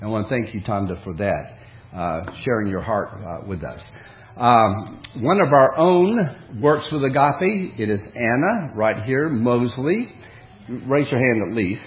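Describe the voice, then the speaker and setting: A man speaks at a medium pitch and a fairly slow pace. His pitch swings very widely, with audible room echo. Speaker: preacher. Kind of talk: sermon.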